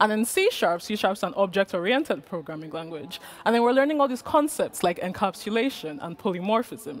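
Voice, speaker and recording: Loud and at a moderate pace, a woman speaks with a fairly high pitch. Her voice makes very wide pitch swings. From Nigeria, Lagos. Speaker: conference speaker, front-end developer. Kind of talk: conference talk. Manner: projecting loudly.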